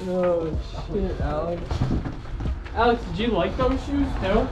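A fairly slow pace amid noticeable background noise. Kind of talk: casual vlog chat. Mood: joking, teasing friend. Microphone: phone near.

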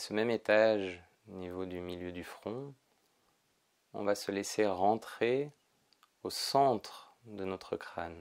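A soft-spoken man's calm, soothing voice at a fairly low pitch, very slow with long, frequent pauses, ordinary pitch variation, big swings in loudness, and a quiet background. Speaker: yoga teacher. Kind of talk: guided meditation. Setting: pre-recorded video session. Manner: slow, soft, calm and soothing, with long pauses. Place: home room.

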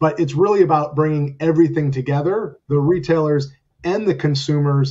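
With fairly even intonation and a fairly high pitch, the man sounds somewhat breathy. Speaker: business executive. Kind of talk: panel discussion.

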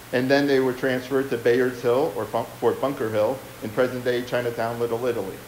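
A fairly quick, monotone delivery with flat intonation, audible room echo and light background noise. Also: man. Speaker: historian. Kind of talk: lecture. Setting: stage with audience. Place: hall.

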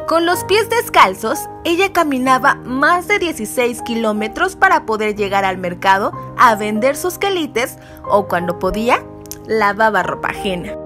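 Music plays in the background while a woman talks at a fairly slow pace. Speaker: news reporter. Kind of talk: news report narration.

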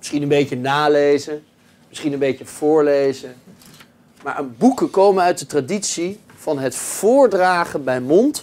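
Fairly slow speech from a man with ordinary pitch variation. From Netherlands. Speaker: pastor. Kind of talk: lecture; reading aloud. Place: meeting room. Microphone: camera far.

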